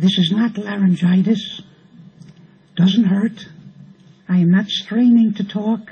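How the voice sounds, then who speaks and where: A man's high-pitched, monotone, flat delivery at a very slow pace with long, frequent pauses, over noticeable background noise. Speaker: rabbi. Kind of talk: speech at festive gathering. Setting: live audience at event.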